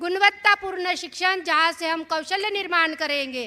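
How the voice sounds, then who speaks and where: In a Marathi accent, a woman uses a raised, projected voice at an extremely high pitch with a bright, sharp tone. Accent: Marathi-accented Hindi. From Maharashtra, India. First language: Marathi (speaking Hindi). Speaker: activist speaker. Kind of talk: public speech. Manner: halting.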